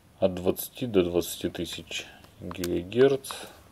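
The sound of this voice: Low-pitched and dark, mellow in tone, a man's voice shows vocal fry and a slightly husky edge. He speaks at a slow pace with ordinary pitch variation.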